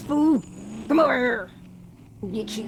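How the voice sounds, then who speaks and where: Over clear background noise, a gruff, fairly high put-on character voice speaks at a fairly slow pace. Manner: threatening.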